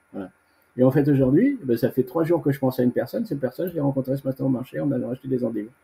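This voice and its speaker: A man speaks at a very fast pace in a medium pitch, his tone dark and mellow. His voice is somewhat breathy, with ordinary pitch variation. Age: 60s. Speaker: veteran bodybuilder. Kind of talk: interview. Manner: casual; halting.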